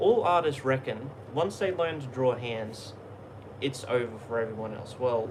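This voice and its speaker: A man speaks with an Australian accent amid noticeable background noise. Room echo is audible. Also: medium pitch for a man, lively intonation, moderate pace. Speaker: YouTube artist and content creator. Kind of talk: casual live stream chat. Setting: live stream at home. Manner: halting, repetitive.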